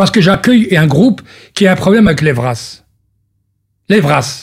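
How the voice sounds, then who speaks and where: Here a man talks at a fairly quick pace. His voice is high, with very wide pitch swings. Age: 50s. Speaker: politician. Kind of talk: radio interview.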